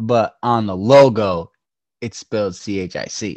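With an ordinary speaking voice at medium pitch, a man speaks with lively intonation. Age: 20s. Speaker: podcast co-host. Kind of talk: casual chat. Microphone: poor audio quality.

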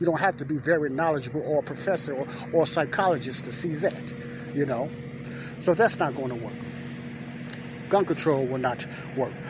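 There is noticeable background noise as a man with an American accent speaks at a medium pitch and a moderate pace. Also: ordinary pitch variation. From Chicago. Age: 50s. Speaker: podcast host. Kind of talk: opinion monologue.

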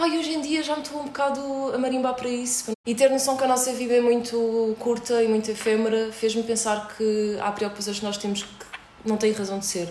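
A woman with a high pitch talks fairly quickly, with ordinary pitch variation. There is noticeable background noise and audible room echo. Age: 30s. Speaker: podcast host. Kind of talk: casual chat.

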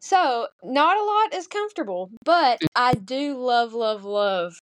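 A woman speaks very slowly in a Southern US accent, her intonation lively against a quiet background. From US South, Arkansas. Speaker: teacher. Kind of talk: casual chat.

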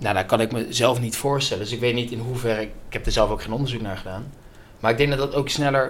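Noticeable background noise and audible room echo fill the recording. A man speaks at a very fast pace with fairly even intonation. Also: medium pitch for a man. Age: 20s. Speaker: business student and customer success employee. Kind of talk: casual interview.

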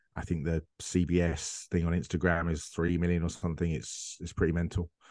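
Against a quiet background, a man with an English accent speaks at a moderate pace in a very deep, low pitch with monotone, flat intonation, and the sound is dry and close with no echo. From England. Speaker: football media presenter and analyst. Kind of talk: casual interview chat.

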